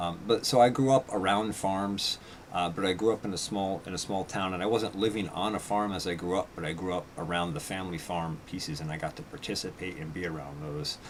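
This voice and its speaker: Fast and hardly pausing, a man with a very deep, low voice and an American accent talks over noticeable background noise. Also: ordinary pitch variation. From upstate New York (Red Hook). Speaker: radio host and small-scale farmer. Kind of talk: live radio show monologue. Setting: live stream broadcast. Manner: halting, many fillers.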